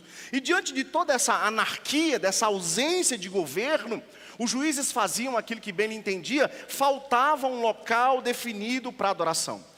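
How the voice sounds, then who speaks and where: A man projects his raised voice at an extremely high pitch, with lively intonation and a moderate pace. He hardly pauses, and there is noticeable background noise. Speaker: pastor. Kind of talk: sermon.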